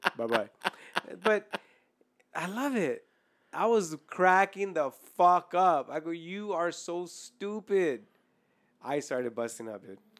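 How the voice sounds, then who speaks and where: Speech comes at a very slow pace with long, frequent pauses in a very clean recording with a silent background. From Mexican heritage. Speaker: podcast host. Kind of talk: casual chat.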